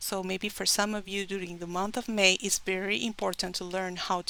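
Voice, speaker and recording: A woman at medium pitch in a Spanish accent, with a bright, sharp tone, monotone, flat intonation and a very clean recording with a silent background. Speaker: tarot reader. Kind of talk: tarot reading to camera.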